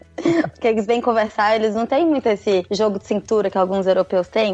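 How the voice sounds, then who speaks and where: Against noticeable background noise, a woman talks at a fairly quick pace in a fairly high pitch with lively intonation. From Brazil, Minas Gerais (Ipatinga). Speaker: former lawyer living abroad. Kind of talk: casual interview chat.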